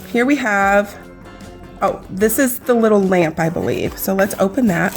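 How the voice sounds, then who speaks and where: Animated in tone, a woman with a medium pitch speaks at a moderate pace over noticeable background noise. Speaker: nail product reviewer. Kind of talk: product unboxing review.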